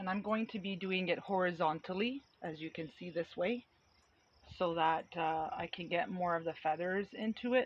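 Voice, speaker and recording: A woman's fairly low voice moves at a moderate pace, its pitch varying in an ordinary way. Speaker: painting instructor. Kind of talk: tutorial. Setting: outdoors.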